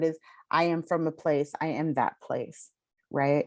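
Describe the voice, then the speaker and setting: At a fairly slow pace, a woman with an American accent speaks at a fairly low pitch over a quiet background. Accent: Southern California Chicana. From Southern California (Inland Empire). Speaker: author. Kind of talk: panel conversation. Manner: casual, many fillers.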